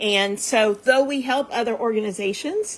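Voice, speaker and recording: A woman with an ordinary speaking voice moves through her words fairly slowly, her pitch varying in an ordinary way. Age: 50s. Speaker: nonprofit founder. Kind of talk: casual chat. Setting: livestream.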